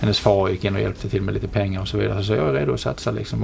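Very fast speech from a man runs over noticeable background noise. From southern Sweden (Helsingborg, Skåne). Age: 40s. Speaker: media company chief executive. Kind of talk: interview. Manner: halting, many fillers and repetitions.

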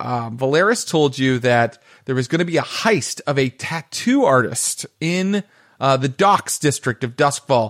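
On a very clean recording with a silent background, a man with an unremarkable speaking voice talks at a fairly slow pace in a fairly high pitch with lively intonation. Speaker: game master. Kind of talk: tabletop roleplaying game session.

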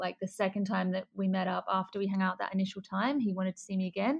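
A woman is speaking. She has an Australian accent. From Australia, Adelaide. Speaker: bride. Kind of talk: interview.

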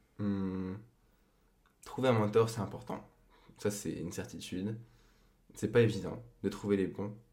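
With long, frequent pauses, a man speaks at a fairly slow pace in a fairly low, dark, mellow voice, his intonation monotone and flat, with audible room echo. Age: 20s. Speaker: podcast guest, host's boyfriend. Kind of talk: casual chat.

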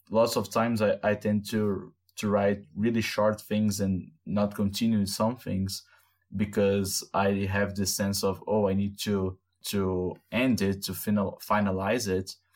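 A man with a Brazilian accent speaks at a fairly slow pace in a flat, monotone delivery. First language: Portuguese. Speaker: podcast host. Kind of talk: casual chat. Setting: video call.

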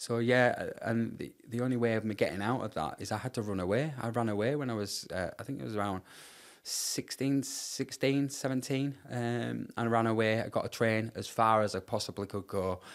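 A man's medium-pitched speech moves at a fairly quick pace with ordinary pitch variation. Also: very clean recording, silent background. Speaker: charity founder sharing life story. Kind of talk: personal testimony in interview. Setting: podcast interview in person. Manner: halting, repeats words.

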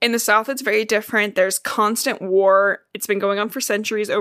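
The intonation here is fairly even. It is plain reading aloud.

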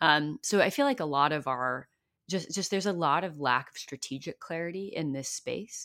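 A woman speaks at a moderate pace with lively intonation and big swings in loudness. The recording is very clean, with a silent background. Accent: Californian. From US, Silicon Valley. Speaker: community-building consultant and author. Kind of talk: podcast interview.

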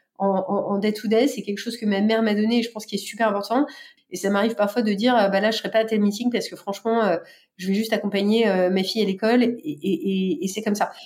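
Intonation is fairly even. The delivery is very fast. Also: woman, fairly high pitch for a woman. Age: 30s. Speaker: bank innovation executive. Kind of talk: testimony. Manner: hesitant with fillers.

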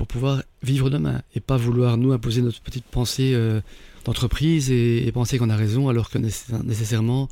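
Speaking at a moderate pace, a man with a medium pitch and a dark, mellow tone keeps his intonation fairly even. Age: 50s. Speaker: entrepreneur turned candle maker. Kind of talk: interview. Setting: studio. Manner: hesitant, frequent repetitions.

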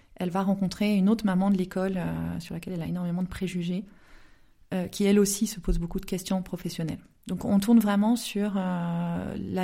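A somewhat breathy woman with a dark, mellow tone, a moderate pace and monotone, flat intonation. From southern France (Aix-en-Provence). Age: 30s. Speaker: novelist. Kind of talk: interview. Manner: hesitant, many fillers.

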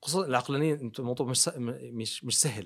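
Pitched in the medium range, a man's voice rises and falls with ordinary variation. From Jordan and Riyadh, Saudi Arabia. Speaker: dentist and TV presenter. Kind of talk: interview. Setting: studio. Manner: calm.

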